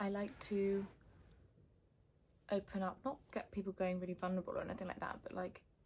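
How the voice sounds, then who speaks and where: Somewhat breathy with a dark, mellow tone, a woman talks at a moderate pace with fairly even intonation. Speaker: founder and event organiser vlogger. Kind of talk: casual vlog. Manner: soft-spoken.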